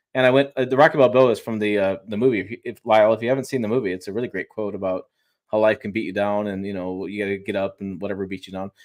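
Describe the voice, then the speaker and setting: A man mumbling at a very fast pace, fairly low in pitch, fairly even in intonation, with big swings in loudness against a quiet background. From Michigan, Detroit. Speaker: automotive YouTuber and journalist. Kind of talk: casual interview on live stream. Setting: home studio, live stream video call.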